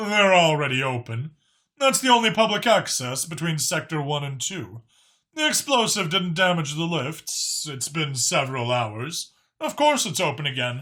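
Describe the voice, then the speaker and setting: A man's put-on character voice, fairly high in pitch, at a moderate pace, on a very clean recording with a silent background. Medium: read story. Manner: earnest, solemn.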